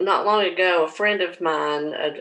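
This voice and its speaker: A woman talks with an Appalachian accent in a bright, sharp tone. Her pace is fairly slow. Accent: Appalachian Southern US. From southwest Virginia (Russell County). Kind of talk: personal testimony. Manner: halting, many fillers.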